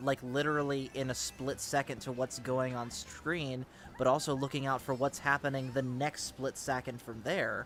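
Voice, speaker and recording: A man speaks in a monotone, flat intonation while music plays in the background. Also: medium pitch for a man, moderate pace. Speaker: streamer hosting a gaming tournament. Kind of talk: casual chat during live game stream. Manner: sometimes tongue-tied.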